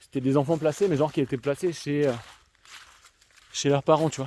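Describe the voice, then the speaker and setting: A man speaks with a slight Alsatian accent at a fairly high pitch. His tone is dark and mellow, his intonation fairly even. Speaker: youtuber, social work commentator. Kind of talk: casual vlog monologue. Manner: casual, hesitant with many fillers.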